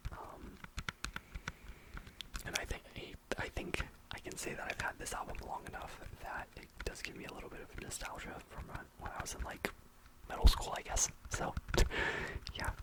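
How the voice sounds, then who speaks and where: A man's relaxed, mumbling whisper at a moderate pace, with long, frequent pauses, big swings in loudness and noticeable background noise. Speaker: ASMR content creator. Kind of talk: ASMR rambling talk to camera. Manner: mumbling, relaxed.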